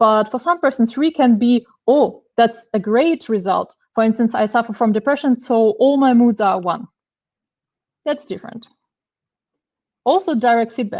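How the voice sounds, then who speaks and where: A woman with a Russian accent speaks at a fairly high pitch with ordinary pitch variation and long, frequent pauses. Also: moderate pace. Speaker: machine learning engineer, conference speaker. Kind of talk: technical talk. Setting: online meetup. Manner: hesitant, many fillers.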